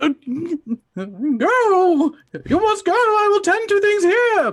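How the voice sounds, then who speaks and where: A squeaky, put-on character voice at an extremely high pitch drags along at a very slow pace. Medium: actual play. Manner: flustered.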